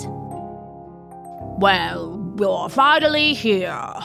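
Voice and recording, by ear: A croaky put-on character voice speaks over clear music in the background.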